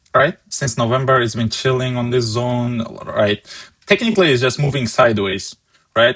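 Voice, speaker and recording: With a non-native accent, a man speaks at medium pitch. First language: not English. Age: 20s. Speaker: stock market trader and streamer. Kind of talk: live market analysis stream. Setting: live stream with chat.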